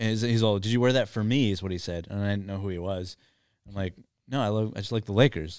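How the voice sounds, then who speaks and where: A man with an American accent speaks at a very fast pace, his pitch fairly low and his intonation fairly even. The background is quiet. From US. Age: 30s. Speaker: comedian and podcast host. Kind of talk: casual chat. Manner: halting, many fillers and restarts.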